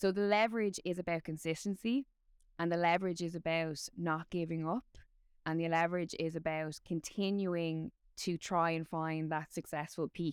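A woman's fairly low voice in an Irish accent at a moderate pace, with a dry, close sound and no echo. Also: fairly even intonation. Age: 30s. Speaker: combat sports presenter. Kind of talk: casual chat.

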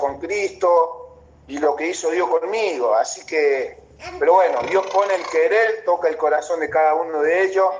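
Behind a man talking fairly slowly, there is noticeable background noise. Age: 30s. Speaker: professional footballer. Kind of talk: casual chat.

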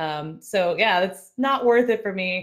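A woman's animated voice with an American accent. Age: 20s. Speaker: military radio broadcaster and streamer. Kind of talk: casual chat.

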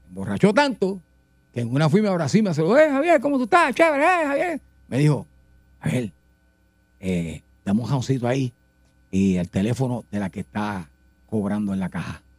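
Long pauses come often in this man's speech. Between them, he talks at a fairly quick pace. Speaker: radio host. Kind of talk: casual chat. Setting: studio.

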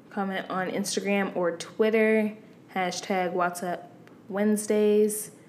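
A woman talks at a very slow pace in a monotone, flat intonation. Audible room echo and noticeable background noise fill the recording. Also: medium pitch for a woman. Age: 20s. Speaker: podcast co-host. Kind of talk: casual chat.

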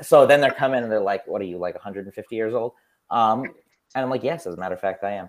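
Moving at a fairly quick pace, a man with a plain, everyday voice speaks at a medium pitch with ordinary pitch variation. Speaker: podcast co-host and teacher. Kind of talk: casual chat. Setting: video call.

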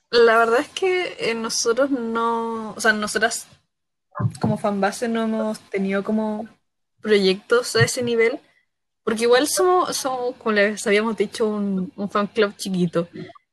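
In a plain, everyday voice, a woman speaks at a fairly slow pace and a fairly high pitch, with ordinary pitch variation. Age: 20s. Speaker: fan club leader. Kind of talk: casual chat.

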